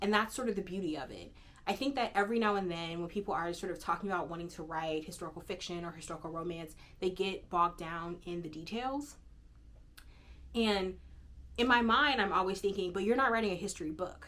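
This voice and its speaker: A woman's very fast American-accented speech at medium pitch, with ordinary pitch variation and a bright, sharp tone. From Oakland, California. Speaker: historian and romance author, YouTuber. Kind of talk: casual book-talk monologue. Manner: many fillers (um, right, like); enthusiastic.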